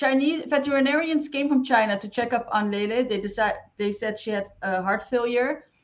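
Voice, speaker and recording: Speaking at a fairly quick pace with hardly any pauses, a woman with a non-native accent uses a high pitch and ordinary pitch variation. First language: not English. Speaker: interviewer. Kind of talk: interview.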